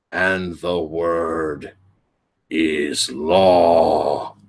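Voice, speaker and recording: A man puts on a booming character voice. He speaks at a very slow pace. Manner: commanding, authoritative.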